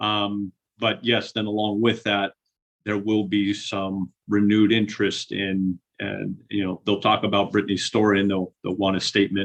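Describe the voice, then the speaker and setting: With monotone, flat intonation, a man talks at a moderate pace in a fairly low pitch. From Northern California, San Francisco area. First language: Spanish. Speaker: widower and advocate. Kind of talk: podcast interview. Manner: halting, many fillers and repeats.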